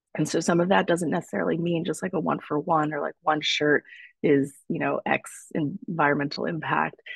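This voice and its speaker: Recorded with a dry, close sound and no echo, a woman speaks with vocal fry at a moderate pace and with ordinary pitch variation. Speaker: materials researcher and podcast co-founder. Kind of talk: panel presentation. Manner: halting.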